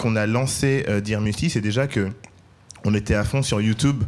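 A man speaks with ordinary pitch variation. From Paris, 13th arrondissement. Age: 30s. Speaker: entrepreneur, food brand cofounder. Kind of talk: live panel discussion. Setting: live event with audience.

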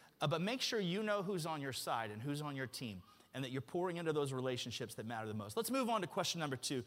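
An animated man speaks at a very fast pace, his pitch swinging very widely. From Alabama. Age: 40s. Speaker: pastor. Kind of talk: sermon. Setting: church.

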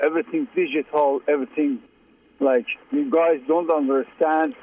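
A man's fairly high, tired-sounding voice with lively intonation at a fairly slow pace. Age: 50s. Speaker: caller. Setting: phone call. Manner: tired and frustrated.

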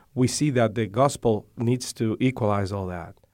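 A man's medium-pitched voice with ordinary pitch variation, in a Spanish accent. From Dominican Republic. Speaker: seminary director, minister. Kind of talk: interview. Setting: studio. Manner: hesitant, many fillers.

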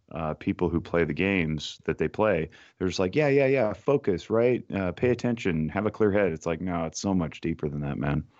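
A man with an American accent and a very deep, low pitch, with ordinary pitch variation, in a dry, close sound with no echo over a quiet background. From Nevada, US. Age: 40s. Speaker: clinical therapist. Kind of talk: casual chat.

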